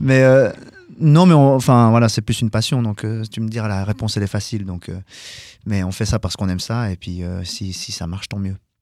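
Pitch variation stays ordinary throughout. The pace runs fairly quick. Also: man, fairly low pitch for a man. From Geneva, Switzerland. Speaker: rock singer and keyboardist. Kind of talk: casual radio interview.

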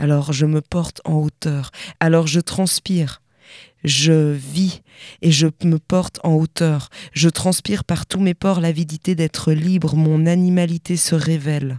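A woman speaks very slowly in a very deep, low voice with flat, monotone intonation, the sound dry and close with no echo. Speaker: slam poet. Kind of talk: slam poem performance, poetic spoken word. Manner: rhythmic, lyrical, building intensity.

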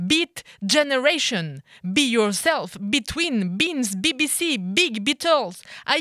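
With a Colombian accent, a woman speaks very slowly in a bright, sharp tone, her pitch swinging very widely, on a very clean recording with a silent background and a dry, close sound with no echo. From France and Colombia. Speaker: slam poet. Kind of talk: slam performance. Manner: rhythmic.

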